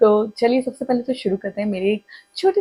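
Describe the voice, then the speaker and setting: The woman's voice is somewhat breathy, with a dark, mellow tone and ordinary pitch variation. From Madhya Pradesh, India (Itarsi, near Bhopal). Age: 20s. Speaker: vlogger. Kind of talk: casual self-introduction vlog.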